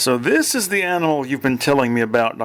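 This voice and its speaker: Over light background noise, a man puts on a character voice that is resonant and fairly high in pitch, racing at a very fast pace with ordinary pitch variation and very even loudness. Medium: read story. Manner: dry, matter-of-fact.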